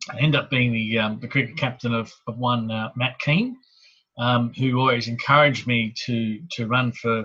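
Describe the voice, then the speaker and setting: Bright and sharp in tone, a man with a medium pitch and fairly even intonation speaks with an Australian accent. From Sydney, Australia (Hornsby area). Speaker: local councillor. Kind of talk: interview.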